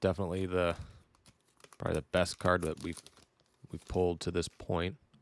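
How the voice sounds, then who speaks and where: A man talks at a fairly quick pace in a very deep, low voice. His intonation is monotone and flat, and the sound is dry and close with no echo. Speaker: sports card collector. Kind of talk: casual card-opening commentary.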